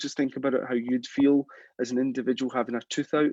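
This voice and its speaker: A Scottish accent at a fairly quick pace, in a dry, close sound with no echo. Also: man. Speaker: implant dentist. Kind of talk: live stream Q&A, advice to a junior dentist. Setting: live stream. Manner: hesitant, many repetitions and fillers.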